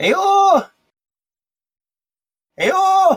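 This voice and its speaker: The voice is a put-on character. It sits extremely high in pitch. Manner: howling, call-like.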